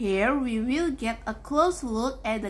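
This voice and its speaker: Very slow speech with ordinary pitch variation. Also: woman. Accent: Indonesian. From Java, Indonesia. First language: not English. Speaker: university student. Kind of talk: class presentation.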